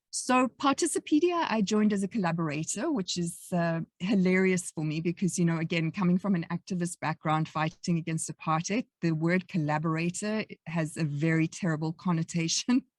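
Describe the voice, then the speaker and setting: A woman with a South African accent speaks at a fairly low pitch and a fairly quick pace, with ordinary pitch variation, hardly any pauses, and a dry, close sound with no echo. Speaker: academic researcher. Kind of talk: podcast interview.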